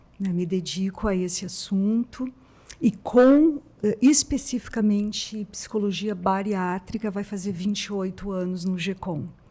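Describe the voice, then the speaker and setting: A woman with a dark, mellow tone speaks at a medium pitch and a fairly slow pace, her voice somewhat breathy and her pitch varying in an ordinary way. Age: 60s. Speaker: psychologist. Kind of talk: casual interview.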